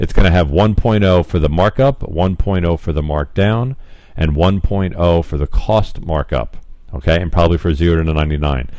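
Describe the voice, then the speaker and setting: A man speaks in a very deep, low pitch. There is noticeable background noise. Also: ordinary pitch variation. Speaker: software trainer. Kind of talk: screen-recorded tutorial. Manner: fast.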